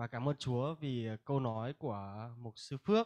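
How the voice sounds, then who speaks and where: The voice has ordinary pitch variation, and the background is quiet. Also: man. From northern Vietnam, Hanoi; Vietnam. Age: 20s. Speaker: Bible school student. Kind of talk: testimony; religious testimony speech. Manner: halting. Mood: earnest, reflective. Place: hall. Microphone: handheld.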